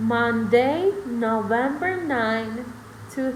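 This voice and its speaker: A woman speaks at a very slow pace with lively intonation. Music plays in the background, and the room echo is audible. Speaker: English teacher for kids. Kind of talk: online class. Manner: animated.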